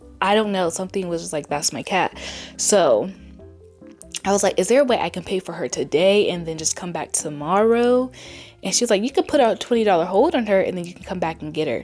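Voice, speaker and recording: Music sits in the background as a woman talks. Her pitch is medium and her pace fairly quick. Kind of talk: casual talk to camera.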